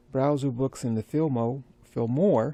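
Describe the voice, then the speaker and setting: Dry and close with no echo, a man's medium-pitched voice has a dark, mellow tone and fairly even intonation. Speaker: sewing content creator. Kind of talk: casual vlog monologue. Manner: fast; halting, many fillers and restarts.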